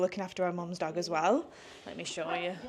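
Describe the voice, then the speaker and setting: Noticeable background noise under a woman's fairly quick, medium-pitched speech. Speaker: vlogger. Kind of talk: casual vlog talk.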